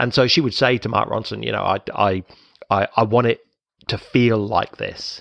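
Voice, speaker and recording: Dry and close with no echo, the recording captures a man at medium pitch with vocal fry, fairly even intonation and a moderate pace. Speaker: podcast host.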